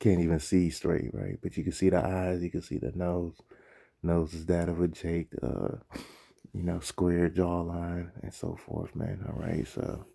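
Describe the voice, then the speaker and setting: The voice is soft-spoken, with a dark, mellow tone. It moves at a fairly slow pace with fairly even intonation. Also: man, very deep, low pitch for a man. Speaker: religious teacher. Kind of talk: casual lesson commentary. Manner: soft-spoken, talking low; casual, many fillers.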